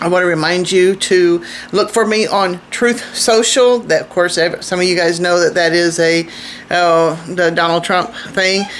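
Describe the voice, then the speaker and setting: A woman speaks slowly-ish, at a fairly slow pace, with a fairly low pitch and fairly even intonation. Noticeable background noise runs behind her. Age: 60s. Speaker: homesteading vlogger. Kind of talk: casual vlog talk to camera. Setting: outdoors. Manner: halting, with repeated words and fillers.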